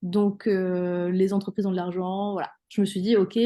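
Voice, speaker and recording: A woman's dark, mellow voice at medium pitch and a fairly slow pace, over a quiet background. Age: 30s. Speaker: hypnotherapist. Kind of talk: interview. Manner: hesitant, many fillers.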